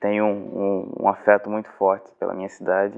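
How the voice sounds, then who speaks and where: A man's fairly low, monotone, flat voice at a moderate pace. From Brazil, Cabo de Santo Agostinho, Pernambuco. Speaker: journalist and professor. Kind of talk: testimony.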